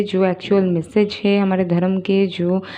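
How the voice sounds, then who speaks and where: Her pitch is medium for a woman. She talks with a non-native accent. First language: not Hindi (speaking Hindi). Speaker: spiritual YouTuber. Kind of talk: casual spoken monologue. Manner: hesitant, many fillers.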